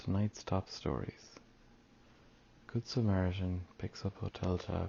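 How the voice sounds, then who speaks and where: A soft-spoken man with an Irish accent talks at a moderate pace in a very deep, low voice. His delivery is somewhat breathy, with fairly even intonation. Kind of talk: ASMR news reading.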